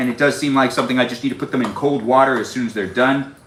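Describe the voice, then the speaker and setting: Amid noticeable background noise, a man at medium pitch speaks at a very fast pace. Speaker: live streamer. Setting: home kitchen. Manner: fast talker.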